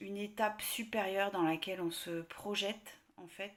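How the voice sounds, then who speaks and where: Flat, monotone intonation from a woman at a medium pitch. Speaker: tarot card reader. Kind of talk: tarot reading video. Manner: slow; soft-spoken.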